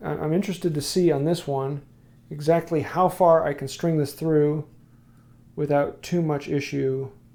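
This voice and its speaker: This man has an American accent, a fairly high pitch and a dark, mellow tone, with fairly even intonation. The recording is very clean, with a silent background. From Wisconsin. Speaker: woodworking youtuber. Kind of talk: live stream tutorial with chat. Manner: casual, halting.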